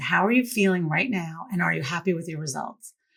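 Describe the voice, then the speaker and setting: A woman's enthusiastic, lively delivery at a moderate pace, with vocal fry. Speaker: podcast host and coach. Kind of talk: interview conversation. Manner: loud; high energy, enthusiastic.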